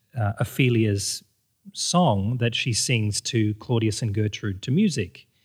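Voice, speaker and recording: Somewhat breathy, this voice shows ordinary variation in pitch. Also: man. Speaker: podcast host. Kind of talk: interview conversation.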